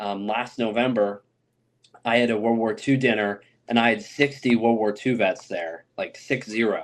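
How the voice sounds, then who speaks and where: A man with an American accent speaks at a moderate pace in a normal speaking voice of medium pitch. His intonation is fairly even, and the background is quiet. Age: 20s. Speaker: oral historian interviewing war veterans. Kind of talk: podcast interview. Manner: casual, filler-heavy.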